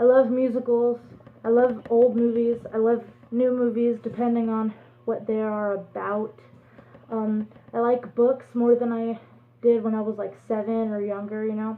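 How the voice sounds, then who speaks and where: A woman speaks in a fairly high voice with a flat, monotone delivery. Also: moderate pace. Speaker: fursuiter vlogger. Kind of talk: casual vlog monologue. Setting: speaking to camera at home. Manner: halting. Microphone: no microphone, may be hard to hear.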